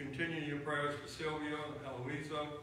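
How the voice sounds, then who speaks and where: Strong room echo and light background noise accompany a man's voice. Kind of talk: prayer concerns announcements. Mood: earnest, somber. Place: church. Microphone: camera far.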